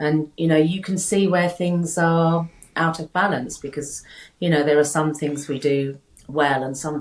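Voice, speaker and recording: A woman with a British accent speaks at a very deep, low pitch. Her pace is fairly slow and her intonation fairly even. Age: 60s. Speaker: health coach. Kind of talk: casual interview chat. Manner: halting, many repeated words.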